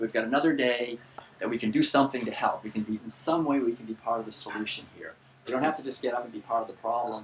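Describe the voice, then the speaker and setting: Over noticeable background noise, a man at medium pitch talks at a very fast pace with fairly even intonation. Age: 60s. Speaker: vegan author and lecturer. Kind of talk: lecture. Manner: halting.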